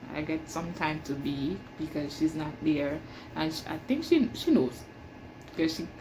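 A woman's dark, mellow, somewhat breathy voice over noticeable background noise. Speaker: janitor vlogger. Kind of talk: casual vlog chat. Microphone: phone near.

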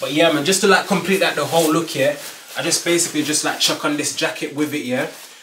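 A man speaks at a very fast pace in a fairly high voice. Light background noise and audible room echo are present. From Birmingham, UK. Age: 20s. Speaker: fashion YouTuber. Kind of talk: casual talk to camera. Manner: upbeat, energetic. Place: home room. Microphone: camera far.

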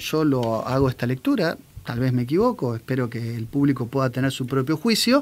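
A man's voice at a fairly slow pace with ordinary pitch variation. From Argentina. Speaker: commentary show host. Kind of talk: political commentary talk. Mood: serious, critical. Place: studio. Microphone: studio mic.

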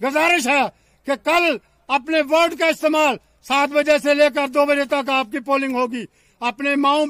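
Speaking at a very slow pace with fairly even intonation, a man has an extremely high pitch, recorded dry with no echo against a quiet background. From Jammu and Kashmir. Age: 70s. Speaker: election candidate. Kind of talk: political appeal.

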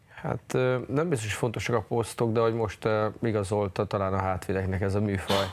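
A man with a plain, everyday voice speaks at a moderate pace in a fairly low pitch, his intonation fairly even over light background noise. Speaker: national team ice hockey coach. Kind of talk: TV studio interview. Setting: studio. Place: studio. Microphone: lapel.

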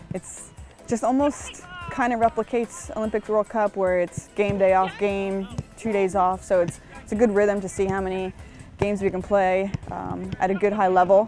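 Faint music sits behind a voice speaking at a moderate pace with fairly even intonation, in a dry sound with no echo. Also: woman. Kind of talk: interview answer. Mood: relaxed, reflective, light humor. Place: garden. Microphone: lapel.

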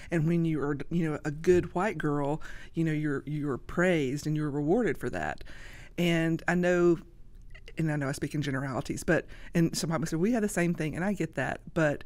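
This woman speaks with a Southern US accent at a fairly quick pace. Her pitch is very deep and low, with ordinary variation. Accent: Southern US (Georgia). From US South, Georgia. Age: 50s. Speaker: social media creator; podcast guest. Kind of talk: casual chat. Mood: earnest, emotional at times. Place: studio. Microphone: studio mic.

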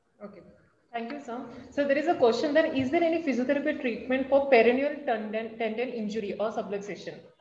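A woman's high-pitched voice at a very fast pace, with ordinary pitch variation, big swings in loudness and audible room echo. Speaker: webinar co-moderator. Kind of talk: Q&A moderation. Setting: video call. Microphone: video call.

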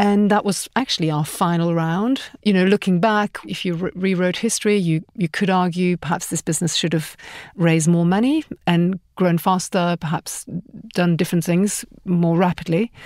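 In a very clean recording with a silent background and a dry, close sound with no echo, a woman with an unremarkable speaking voice talks at a moderate pace in a fairly low pitch with ordinary pitch variation. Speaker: startup founder and entrepreneur. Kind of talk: interview conversation.

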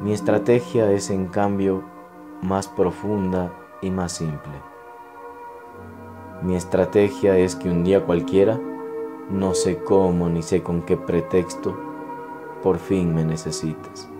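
A man's very deep, low voice with lively intonation, a very slow pace, long and frequent pauses, and music in the background. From Ecuador. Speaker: poetry reciter. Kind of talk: poetry reading.

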